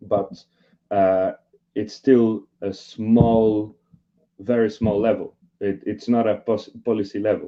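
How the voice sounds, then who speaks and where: This man has a Portuguese accent and a fairly low pitch, with monotone, flat intonation. He talks at a very slow pace with long, frequent pauses. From Brazil. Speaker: social inclusion worker. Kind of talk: panel discussion. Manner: halting.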